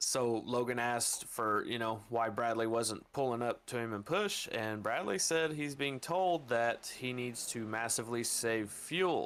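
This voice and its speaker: Using an ordinary speaking voice at a medium pitch, a man speaks at a fairly slow pace with ordinary pitch variation and hardly any pauses. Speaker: sim racing commentator. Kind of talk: live commentary.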